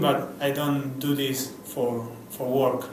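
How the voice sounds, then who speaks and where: Speaking at a very slow pace with a Spanish accent, a man is heard amid noticeable background noise and audible room echo. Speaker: advertising creative director. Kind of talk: interview. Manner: halting, many repeated words.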